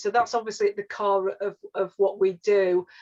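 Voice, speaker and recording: This woman's medium-pitched voice moves fairly quickly, its intonation monotone and flat. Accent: Yorkshire. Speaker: regional housing advisor. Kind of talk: webinar presentation. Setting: online webinar. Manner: halting, many fillers and restarts.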